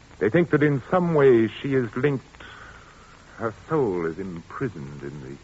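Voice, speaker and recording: At a moderate pace, the speaker's pitch swings very widely over noticeable background noise. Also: man. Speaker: actor playing an organist, in an old-time radio drama. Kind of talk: old-time radio drama performance. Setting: vintage radio studio recording, 1940s.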